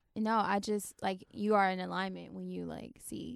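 A woman with a Florida accent talks at a moderate pace in a dry, close recording with no echo. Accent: Southern US (Florida), noticeable. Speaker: podcast host. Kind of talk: casual comedic chat.

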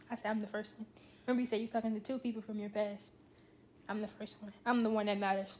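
At a very fast pace, a woman speaks in a somewhat breathy voice at a fairly high pitch. Her intonation is monotone and flat. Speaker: friend of the host. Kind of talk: casual chat.

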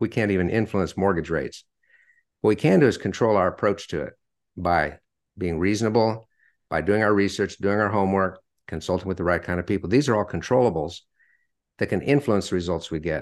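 A man speaks at a fairly quick pace with a fairly low pitch and ordinary pitch variation. He leaves long, frequent pauses over a quiet background. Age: 60s. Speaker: author and retired sales executive. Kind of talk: interview.

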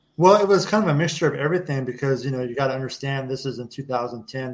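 A man with an American accent, fairly high in pitch at a fairly quick pace, in an ordinary speaking voice. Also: quiet background. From Kansas. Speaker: war veteran. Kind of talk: casual chat.

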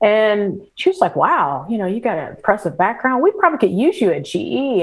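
A woman at a medium pitch, a plain, everyday voice. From US Midwest, St. Louis area, Missouri. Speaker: business executive. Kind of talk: interview.

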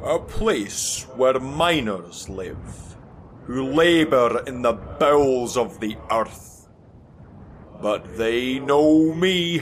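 Putting on a character voice, a man speaks at a medium pitch and a very slow pace. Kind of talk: Victorian audio drama. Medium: audio drama. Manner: grave, commanding.

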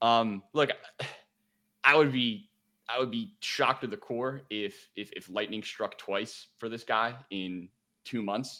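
Pausing long and often, a man with a Philadelphia accent speaks at medium pitch in a bright, sharp tone. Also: ordinary pitch variation, fairly slow pace. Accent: Philadelphia (Delco). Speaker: sports betting analyst. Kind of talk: casual chat. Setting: video call.

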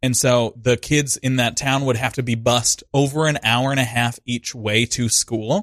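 A man with an American accent talks at a moderate pace in an unremarkable speaking voice, medium in pitch, with fairly even intonation, very even loudness and hardly any pauses. The recording is very clean with a silent background and a dry, close sound with no echo. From Montana. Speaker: actor, dancer and improv comedian. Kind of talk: casual chat with improv scenes.

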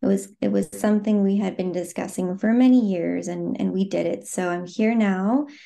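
At a moderate pace with hardly any pauses, a woman speaks in a dark, mellow tone at a medium pitch with ordinary pitch variation. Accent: American. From US, Phoenix, Arizona. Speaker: clothing brand founder. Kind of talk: podcast interview. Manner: hesitant, many filler words.

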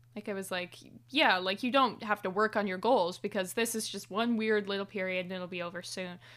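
A woman with a normal speaking voice talks at medium pitch and a fairly quick pace, her intonation fairly even, on a very clean recording with a silent background. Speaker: podcast host. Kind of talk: casual chat.

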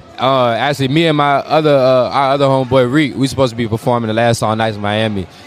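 With hardly any pauses, a man rushes at a very fast pace, medium in pitch and fairly even in intonation, over noticeable background noise. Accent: American. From Portsmouth, Virginia. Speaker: R&B singer. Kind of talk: casual interview. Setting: live music event venue.

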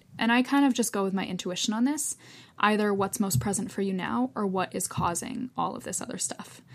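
A woman speaks at a fairly quick pace in a plain, everyday voice, her medium pitch moving with ordinary variation. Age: 20s. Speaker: yoga therapist. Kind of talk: casual interview.

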